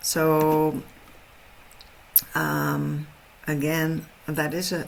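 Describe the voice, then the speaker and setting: There is noticeable background noise behind a woman with a Dutch accent. Her voice is very deep and low. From Netherlands. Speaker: horse trainer. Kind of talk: webinar presentation. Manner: halting.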